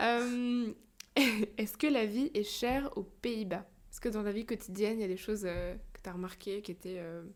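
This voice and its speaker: A woman speaks in a plain, everyday voice, fairly high in pitch, with ordinary pitch variation. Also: moderate pace, big swings in loudness. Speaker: podcast host. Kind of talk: podcast interview.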